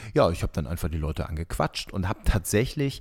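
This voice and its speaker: An animated man speaks with very wide pitch swings. The recording is very clean, with a silent background. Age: 30s. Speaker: TV reporter and hobby runner. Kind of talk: casual chat. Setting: at home on his couch. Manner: animated, laughs often.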